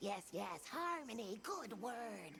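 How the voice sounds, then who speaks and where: A put-on character voice at a fairly high pitch comes through clear background noise. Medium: video game. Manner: quaint broken phrasing.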